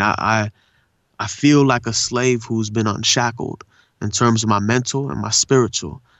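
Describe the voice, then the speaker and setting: A man's medium-pitched voice shows ordinary pitch variation and holds a moderate pace. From Southern California (La Puente and Pomona area), born in India. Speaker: voice actor and poet. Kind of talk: casual interview. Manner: laid-back slangy speech.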